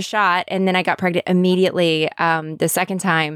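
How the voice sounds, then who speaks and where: The speaker has an ordinary speaking voice and keeps a moderate pace. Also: woman. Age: 30s. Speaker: podcast host. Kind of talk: casual chat. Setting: video call.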